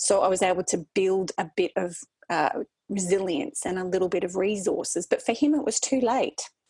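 A woman speaks in an Australian accent at a moderate pace and a medium pitch, with ordinary pitch variation. The sound is dry and close, with no echo. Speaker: wellbeing consultant. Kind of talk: interview. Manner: energetic.

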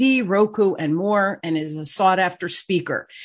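A woman talks at a moderate pace with medium pitch and ordinary pitch variation. It is an unremarkable speaking voice. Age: 60s. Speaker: podcast host and sales coach. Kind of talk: interview, casual business chat.

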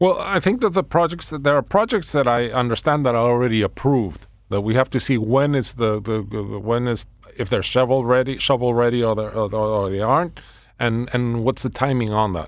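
A man talks at a fairly quick pace with a Spanish accent and ordinary pitch variation. The recording is very clean, with a silent background. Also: medium pitch for a man. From Venezuela. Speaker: local council candidate. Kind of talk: radio interview. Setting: radio studio. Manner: halting, repeats words.

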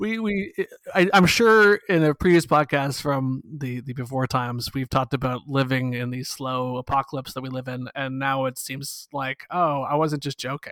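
With a Canadian accent and a normal speaking voice, a man talks at a moderate pace with hardly any pauses, fairly high pitch and ordinary pitch variation, in a dry, close sound with no echo on a very clean recording with a silent background. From Canada. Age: 40s. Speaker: podcast co-host. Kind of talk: casual chat.

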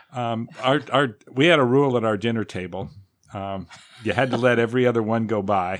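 An unremarkable speaking voice from a man, medium in pitch, fairly quick, with ordinary pitch variation. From Southern California, Pasadena. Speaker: retired crisis worker and dance caller. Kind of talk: casual chat.

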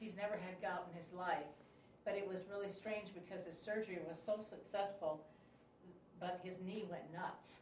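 A woman with an American accent speaks at medium pitch and a moderate pace, with monotone, flat intonation. Noticeable background noise and audible room echo are present. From US Midwest. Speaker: class attendee. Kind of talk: casual chat.

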